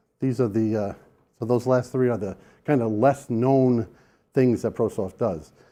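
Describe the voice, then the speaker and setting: Against a quiet background, a man with a New York accent speaks at medium pitch in a dark, mellow tone, with ordinary pitch variation. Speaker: sales engineer presenter. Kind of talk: conference presentation. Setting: room with live audience. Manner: casual, conversational.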